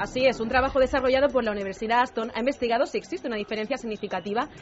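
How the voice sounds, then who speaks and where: Her pitch fairly high with ordinary pitch variation, a woman speaks at a very fast pace. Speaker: radio presenter. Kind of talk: news reading.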